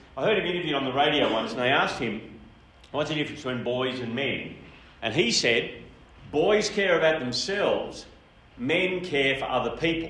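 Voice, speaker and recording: Speaking at a fairly quick pace with an Australian accent, a man with a fairly high pitch uses lively intonation and long, frequent pauses, amid audible room echo and noticeable background noise. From Australia, New South Wales country town. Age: 60s. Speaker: speaker. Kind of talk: seminar talk. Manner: casual.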